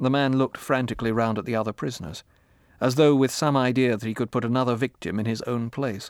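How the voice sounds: In a natural reading voice, the speaker keeps the intonation fairly even.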